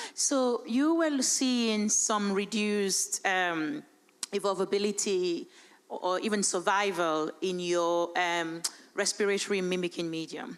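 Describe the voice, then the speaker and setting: At a fairly slow pace, a woman with a medium pitch speaks with lively intonation. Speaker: conference audience member. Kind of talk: audience question. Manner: loud.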